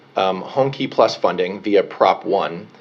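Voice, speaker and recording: A man's voice against noticeable background noise. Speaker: mayoral policy advisor. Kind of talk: public comment at board meeting. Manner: fast.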